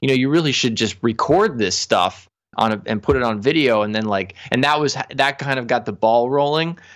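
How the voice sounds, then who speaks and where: A man's voice on a very clean recording with a silent background. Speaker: professional saxophonist and music teacher. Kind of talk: interview. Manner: animated.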